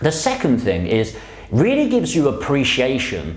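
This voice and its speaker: Noticeable background noise and audible room echo fill the clip. Through them, a man talks. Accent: London. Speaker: property investor YouTuber. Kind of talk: casual explainer vlog. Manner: conversational.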